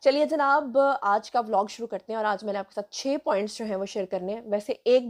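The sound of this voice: The pace is fairly quick. The tone is slightly mellow. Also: woman.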